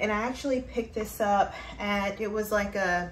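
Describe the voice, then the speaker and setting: A woman talks over light background noise. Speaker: fashion vlogger. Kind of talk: casual vlog chat. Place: home room.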